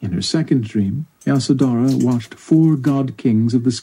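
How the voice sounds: Ordinary pitch variation marks this natural reading voice.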